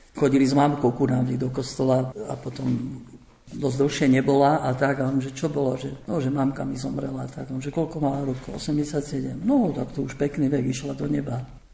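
Over noticeable background noise, a man with a medium pitch talks at a moderate pace in a monotone, flat intonation. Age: old. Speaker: priest and missionary. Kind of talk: radio panel discussion.

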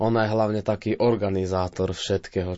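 A man speaks with fairly even intonation. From Vojvodina, Serbia (Slovak minority, Selenča). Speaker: folk musician and sound engineer. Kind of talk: interview.

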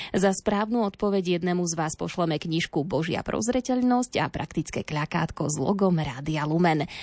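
With an ordinary speaking voice, a woman talks at a moderate pace and a fairly low pitch, her intonation lively. The sound is dry and close with no echo, over a quiet background. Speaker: radio reporter and host. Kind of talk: radio report narration. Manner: formal.

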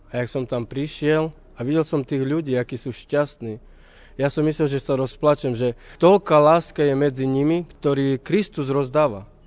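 At a moderate pace, a man with a fairly high pitch speaks in an ordinary speaking voice with fairly even intonation. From eastern Slovakia, Roma settlement near Bardejov. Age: 30s. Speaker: Roma lay missionary. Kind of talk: testimony.

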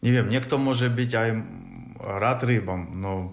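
Ordinary pitch variation in a man's speech, set in audible room echo. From Ukraine, Kyiv. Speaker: refugee. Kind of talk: interview. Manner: halting.

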